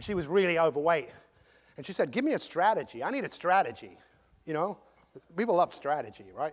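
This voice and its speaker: A man with an English accent talks at a very fast pace in a high pitch, with an animated tone, very wide pitch swings and big swings in loudness. His speech is broken by long, frequent pauses. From England. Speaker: motivational speaker. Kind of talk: motivational talk.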